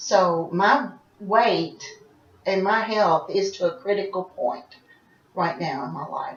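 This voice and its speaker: Over noticeable background noise, a woman speaks at a fairly slow pace in a medium pitch with big swings in loudness. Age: 60s. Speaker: role-play client. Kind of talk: counseling interview.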